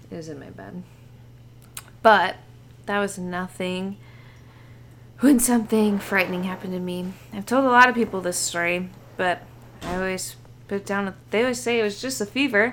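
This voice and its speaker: At a moderate pace, a woman of medium pitch speaks with ordinary pitch variation, big swings in loudness and long, frequent pauses. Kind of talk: reading a spooky story aloud, comedic. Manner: animated.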